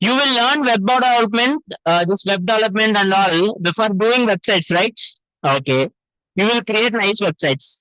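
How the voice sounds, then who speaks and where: A man uses a raised, projected voice, high in pitch and bright, sharp in tone, with lively intonation at a moderate pace. The recording is dry and close, with no echo. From Telangana, India. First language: Telugu. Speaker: web development teacher. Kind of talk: lecture. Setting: classroom with online participants. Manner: animated.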